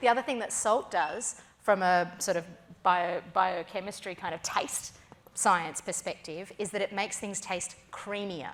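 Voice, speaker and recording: A woman with a strong Australian accent, medium pitch, ordinary pitch variation and a fairly slow pace. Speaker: food personality and cook. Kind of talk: keynote stage interview. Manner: animated.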